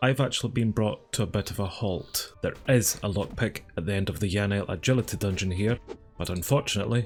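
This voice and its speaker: Over music in the background, a man with a Scottish accent talks at a fairly quick pace, his fairly low voice showing ordinary pitch variation. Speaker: gaming YouTuber. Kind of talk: gameplay commentary.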